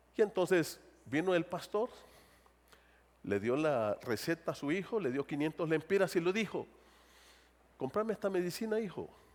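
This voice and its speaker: This man speaks in a high voice at a moderate pace. His intonation is lively, broken by long, frequent pauses. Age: 60s. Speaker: pastor. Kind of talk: sermon.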